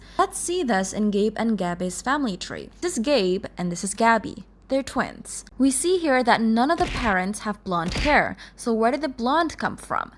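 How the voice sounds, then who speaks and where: With a non-native accent, a woman speaks at a moderate pace and a fairly high pitch, making very wide pitch swings with hardly any pauses. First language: not English. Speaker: gaming video creator. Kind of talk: video essay narration. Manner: explanatory.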